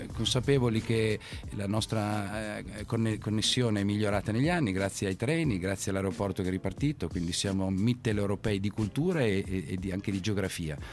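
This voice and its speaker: At a fairly quick pace, a man talks in a fairly low voice with ordinary pitch variation. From Turin, Italy. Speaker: entrepreneur, festival founder. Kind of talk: interview. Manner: halting.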